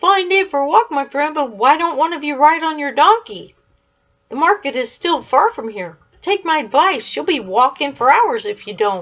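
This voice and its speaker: Woman's put-on character voice, high-pitched, with very wide pitch swings, big shifts in loudness and a moderate pace. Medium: read story. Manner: friendly, chatty.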